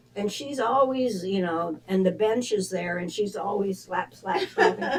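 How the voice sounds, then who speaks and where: Noticeable background noise sits under this recording. A woman speaks at a fairly slow pace. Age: 80s+. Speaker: dancer and actress. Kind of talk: interview.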